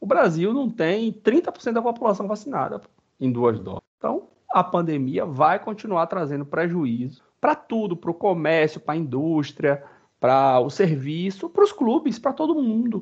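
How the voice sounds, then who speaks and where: High-pitched speech from a man at a moderate speed, his pitch swinging very widely and his loudness rising and falling a great deal. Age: 30s. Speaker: sports podcast host. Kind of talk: casual chat.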